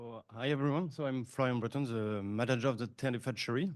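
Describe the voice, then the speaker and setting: Speaking with a French accent, a man uses medium pitch and fairly even intonation at a fairly quick pace. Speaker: hatchery manager. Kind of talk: conference presentation.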